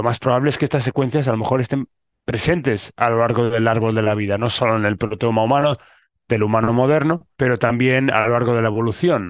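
This man has a medium pitch. He talks at a fairly quick pace with ordinary pitch variation. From Spain. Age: 30s. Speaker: scientist. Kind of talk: interview. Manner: hesitant with fillers.

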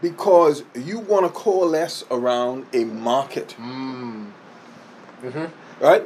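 Over noticeable background noise, a man with a fairly high pitch speaks very slowly, with lively intonation and big swings in loudness. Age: 50s. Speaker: insurance agency owner and sales trainer. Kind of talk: interview.

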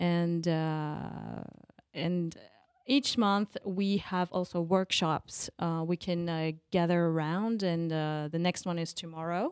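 A woman speaks at a very slow pace in a fairly low voice. Her intonation stays fairly even. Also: dry, close sound with no echo. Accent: French. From France (Paris). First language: French. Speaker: life and business coach. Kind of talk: interview. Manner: halting.

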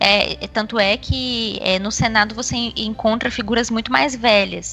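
Noticeable background noise runs under this woman's speech. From Brasília, Brazil. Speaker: institutional relations coordinator, lobbyist. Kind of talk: casual chat.

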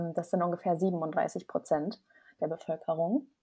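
A woman speaks at a fairly slow pace in a dark, mellow tone with fairly even intonation. The recording is very clean, with a silent background. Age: 20s. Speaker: human design coach. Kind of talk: interview.

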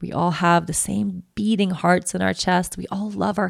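A woman talks at a fairly slow pace in a fairly low pitch, with vocal fry and very wide pitch swings. The recording is very clean, with a silent background. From Sweden. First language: Swedish. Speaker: podcast host and yoga teacher. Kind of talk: personal storytelling monologue.

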